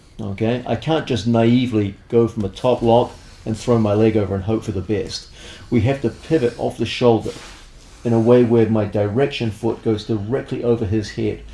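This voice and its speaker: Fairly even intonation and a moderate pace from a plain, everyday voice. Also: man, medium pitch for a man. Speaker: grappling instructor. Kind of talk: instructional tutorial.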